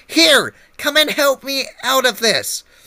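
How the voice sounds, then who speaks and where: At a fairly slow pace, this man delivers his lines. He performs a put-on character voice pitched extremely high. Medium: read story. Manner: bossy, irritable.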